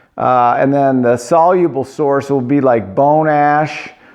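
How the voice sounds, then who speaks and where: A fairly high-pitched male voice with fairly even intonation and audible room echo. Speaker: pottery glaze teacher. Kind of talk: online lecture. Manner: casual, halting with fillers.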